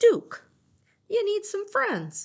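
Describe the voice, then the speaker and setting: Extremely high-pitched, put-on character voice. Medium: read story. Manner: warm, encouraging.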